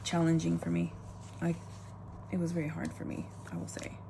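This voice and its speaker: A woman talks at a fairly quick pace. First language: not English. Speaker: planner vlogger. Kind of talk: casual chat.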